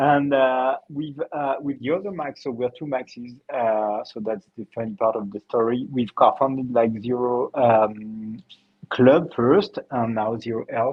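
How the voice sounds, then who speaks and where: With a French accent, a man speaks at a fairly slow pace and medium pitch, with ordinary pitch variation and hardly any pauses. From France, Paris. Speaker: health startup co-founder. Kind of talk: interview.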